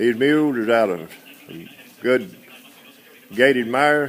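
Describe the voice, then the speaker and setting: Noticeable background noise sits behind this recording. A man speaks at a medium pitch in an American accent. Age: 60s. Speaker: mule seller. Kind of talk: sales pitch. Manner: halting.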